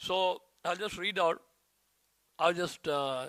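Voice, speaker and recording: A man speaks at a moderate pace with an Indian accent. The recording is very clean, with a silent background. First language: Hindi. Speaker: disciple giving a tribute. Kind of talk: reading aloud a prepared tribute; devotional speech.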